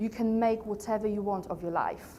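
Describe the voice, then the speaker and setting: With a Polish accent, a woman speaks at a moderate pace in a fairly high pitch. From Poland. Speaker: coach and trainer, company founder. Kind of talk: motivational talk to a live audience.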